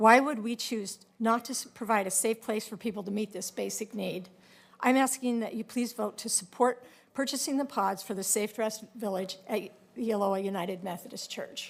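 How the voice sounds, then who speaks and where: At a moderate pace, a woman speaks in a plain, everyday voice, fairly high in pitch with ordinary pitch variation. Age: 60s. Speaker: public commenter. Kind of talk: public testimony. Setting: public meeting.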